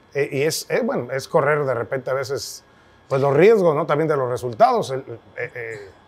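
Lively intonation marks this man's fairly high voice, which moves at a moderate pace. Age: 50s. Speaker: podcast host, sports journalist. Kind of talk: interview conversation. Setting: brewery. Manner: halting, repetitive. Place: bar.

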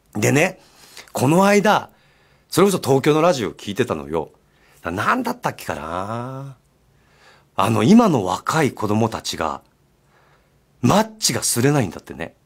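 Vocal fry runs through fairly slow speech marked by long, frequent pauses and very wide pitch swings. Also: man, big swings in loudness, quiet background. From Japan, Miyazaki; Japan. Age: 50s. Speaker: radio host. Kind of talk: casual radio talk. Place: studio.

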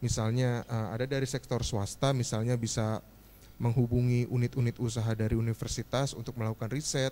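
A man speaks at a fairly quick pace in a dark, mellow tone. His intonation is monotone and flat, with light background noise. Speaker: government investment analyst. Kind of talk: presentation. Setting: stage with audience.

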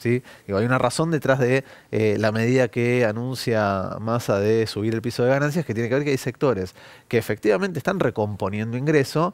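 A man talks at a fairly quick pace in a medium pitch with ordinary pitch variation. The sound is dry, with no echo. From Argentina. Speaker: economist; guest. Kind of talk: news interview. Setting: TV studio. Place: studio. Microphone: headset.

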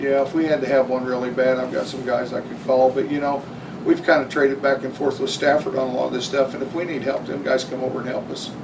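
A man at medium pitch, very fast and monotone with flat intonation, amid audible room echo and noticeable background noise. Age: 60s. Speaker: city utility line crew supervisor. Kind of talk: council meeting discussion. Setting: city council meeting.

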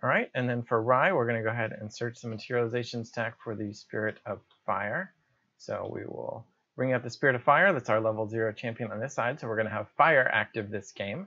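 A man's speech moves at a fairly quick pace, showing ordinary pitch variation against a quiet background. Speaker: gamer explaining play. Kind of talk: commentary. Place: home room.

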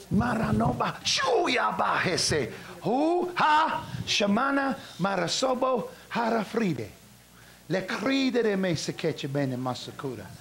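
A man's very slow, high-pitched speech with a warm tone and very wide pitch swings, over noticeable background noise. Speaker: preacher. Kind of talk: revival sermon with prayer for the sick. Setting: church revival meeting with live congregation. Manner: warm, conversational, laughing between exhortations.

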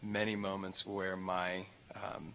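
Over light background noise, a man speaks in a fairly low voice with monotone, flat intonation. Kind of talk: call to worship address. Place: church. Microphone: studio mic.

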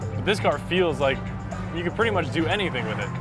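Clear music plays in the background behind a man. The sound is dry with no echo. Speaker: car show host. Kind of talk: casual vlog chat. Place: car.

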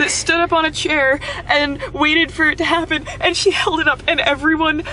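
A woman's raised, projected voice, flat and monotone, at very even loudness, dry with no echo, over light background noise. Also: moderate pace. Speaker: vlogger. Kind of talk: casual vlog chat. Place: car. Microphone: phone near.

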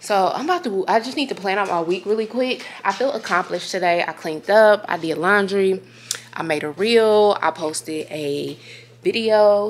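A woman at a moderate pace with ordinary pitch variation, against light background noise. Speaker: vlogger. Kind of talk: casual vlog chat. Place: home room. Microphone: phone near.

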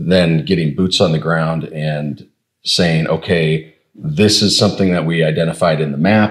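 A man with a very deep, low pitch speaks at a fairly slow pace and with fairly even intonation over a quiet background. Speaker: podcast co-host. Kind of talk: podcast conversation. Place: office. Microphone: lapel.

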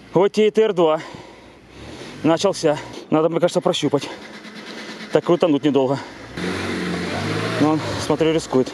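Moderate pace broken by long, frequent pauses, with a dry, echo-free sound and noticeable background noise. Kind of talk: casual running commentary. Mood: amused, tense excitement. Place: forest. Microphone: phone near.

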